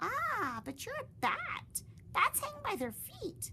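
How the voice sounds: A woman puts on a character voice with an extremely high pitch and a bright, sharp tone. She speaks at a slow pace with very wide pitch swings, and faint background noise sits behind her.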